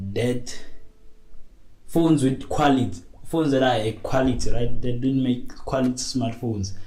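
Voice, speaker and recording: A man speaks at a moderate pace and medium pitch with ordinary pitch variation, his somewhat breathy voice dark and mellow in tone, with long, frequent pauses and audible room echo. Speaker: tech podcaster. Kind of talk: casual monologue. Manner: hesitant, many fillers.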